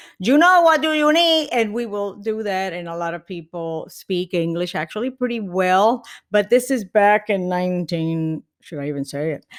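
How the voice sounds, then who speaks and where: With very wide pitch swings and hardly any pauses, a woman of medium pitch speaks at a moderate pace in a very clean recording with a silent background. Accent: Puerto Rican. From Puerto Rico, Carolina. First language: Spanish. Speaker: comedian. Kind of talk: podcast interview. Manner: animated.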